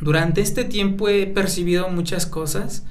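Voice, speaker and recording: A man delivers his words at a moderate speed with fairly even intonation, amid noticeable background noise and audible room echo. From Mexico, Atlacomulco, State of Mexico (Mazahua community). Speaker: intercultural health practitioner. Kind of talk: radio interview.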